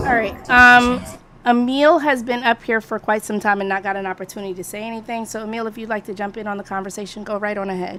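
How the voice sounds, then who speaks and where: A woman's fairly high voice, very fast and fairly even in intonation, over noticeable background noise. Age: 40s. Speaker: live stream discussion host. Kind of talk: casual moderated discussion.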